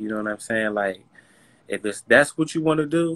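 The background stays quiet. In it, a man talks with an American accent. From Washington DC. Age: 30s. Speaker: vitiligo model and advocate; interview guest. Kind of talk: casual interview. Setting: video livestream. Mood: earnest, encouraging. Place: home room. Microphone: video call.

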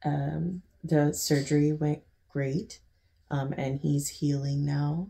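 A woman with a very deep, low pitch speaks with fairly even intonation. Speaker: channel host. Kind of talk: casual vlog chat. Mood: earnest, a bit subdued. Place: home room. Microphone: phone near.

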